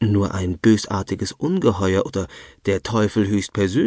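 Natural-voiced reading aloud with mostly level intonation

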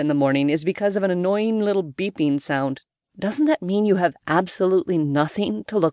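Against a quiet background, the voice offers plain reading aloud.

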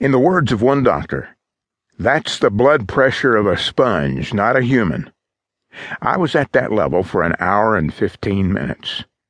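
Against a quiet background, a man at a medium pitch speaks at a moderate pace in a dramatic tone with vocal fry and very wide pitch swings, the sound dry and close with no echo. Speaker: audiobook narrator. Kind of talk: audiobook narration of a first-person memoir. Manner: dramatic, suspenseful, measured delivery.

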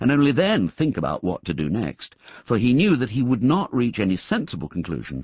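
Just plain reading aloud

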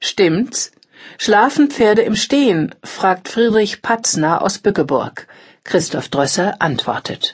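A woman's somewhat breathy voice at a very slow pace, with very wide pitch swings. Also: medium pitch for a woman. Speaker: audiobook narrator. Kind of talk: scripted newsreading of magazine articles. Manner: formal.

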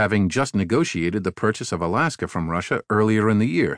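Recorded with a dry, close sound, no echo and a quiet background, a man with a plain, everyday voice and medium pitch speaks at a fairly quick pace. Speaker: audiobook narrator. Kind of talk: audiobook reading of a magazine article. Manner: formal, measured; steady, even-paced.

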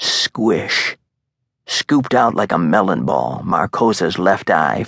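A man speaks fairly slowly at a fairly low pitch, animated in tone with vocal fry. The sound is dry and close, with no echo. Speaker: audiobook narrator. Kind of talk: dramatic audiobook narration of a thriller, with tense, vivid, gory action.

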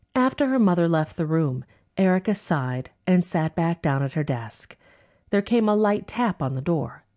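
A woman's fairly low, dark and mellow voice in a dramatic tone, with very wide pitch swings, very even loudness and a moderate pace, dry and close with no echo over a quiet background. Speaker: audiobook narrator. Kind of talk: dramatic audiobook narration of a historical novel, voicing characters. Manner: dramatic, expressive, shifting voices for each character; formal, measured period-drama delivery.

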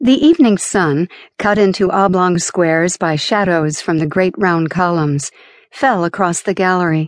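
A woman speaks at a moderate pace and medium pitch with ordinary pitch variation, in a normal speaking voice. The sound is dry and close with no echo, and the background is quiet. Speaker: audiobook narrator. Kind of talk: dramatic first-person audiobook narration of a novel. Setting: studio. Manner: shifts to a lighter, laughing tone for dialogue, then softer for scenic description.

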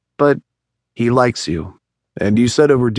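The voice is plain reading aloud with ordinary pitch variation. The background is quiet.

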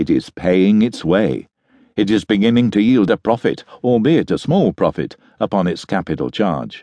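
A man with a dark, mellow tone and vocal fry speaks at a moderate pace, his intonation lively and his loudness very even, in a dry, close sound with no echo. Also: fairly low pitch for a man. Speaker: audiobook narrator. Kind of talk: audiobook reading of a literary travel memoir. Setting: studio. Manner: formal, measured, stately; steady, even, polished delivery.

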